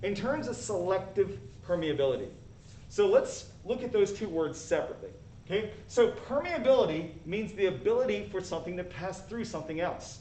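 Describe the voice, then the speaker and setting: Fairly quick speech from a man, noticeable background noise, and audible echo in the room. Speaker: high school biology teacher. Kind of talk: live lecture. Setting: live stream. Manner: fast.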